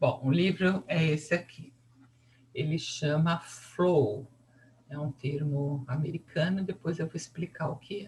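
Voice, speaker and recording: A woman with a fairly low pitch talks at a very slow pace. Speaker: psychology teacher. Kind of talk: lecture. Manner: casual, conversational.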